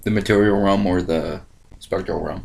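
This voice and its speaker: A man with an American accent and a fairly low pitch is heard with audible room echo and noticeable background noise. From Ohio. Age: 20s. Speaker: online video host. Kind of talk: casual chat. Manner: animated.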